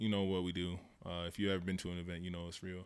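A man speaks in a very deep, low voice with an American accent. The recording is very clean, with a silent background. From Denver, Colorado. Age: 20s. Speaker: DJ. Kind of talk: casual chat.

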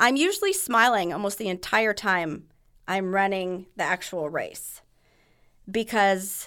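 A woman speaks in a bright, sharp tone at medium pitch, fairly slowly and with ordinary pitch variation. The recording is very clean, the background silent. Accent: American. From California, San Diego. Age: 50s. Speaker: marathon runner with cystic fibrosis. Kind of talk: casual interview.

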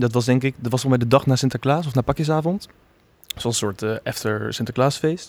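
A man speaks in a normal speaking voice at medium pitch. He moves at a fairly quick pace with ordinary pitch variation. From Netherlands, The Hague. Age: 20s. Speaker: theatre-making student. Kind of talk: casual chat.

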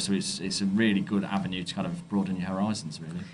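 Very fast and in a monotone, flat intonation, a man with a fairly low pitch speaks in an East Midlands accent. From Derby, England. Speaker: head of marketing, network committee member. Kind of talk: interview.

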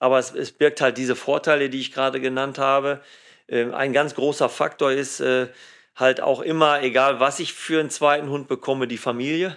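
A man with a fairly high pitch and monotone, flat intonation at a moderate pace against a quiet background. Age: 50s. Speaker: police dog handler and trainer. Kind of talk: casual interview. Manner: hesitant, many fillers.

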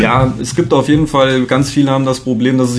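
Over music in the background, a man talks at a moderate pace and medium pitch with fairly even intonation. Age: 30s. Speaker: health coach. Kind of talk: casual interview chat.

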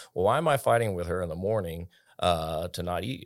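A man with a very deep, low pitch talks at a fairly quick pace with ordinary pitch variation. The recording is very clean with a silent background. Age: 40s. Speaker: gym owner and fitness coach. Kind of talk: casual chat. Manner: halting, frequent repetitions.

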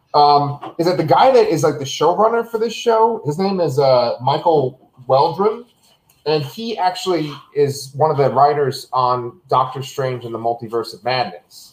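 With a normal speaking voice, a man talks at a fairly high pitch and with lively intonation. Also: moderate pace. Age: 30s. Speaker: podcast host, Marvel show reviewer. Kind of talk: casual chat. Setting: video call from his kitchen.

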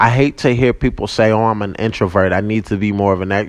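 At a fairly quick pace, a man speaks with a fairly low pitch and ordinary pitch variation. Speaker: podcast host. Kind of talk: casual monologue. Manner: loud.

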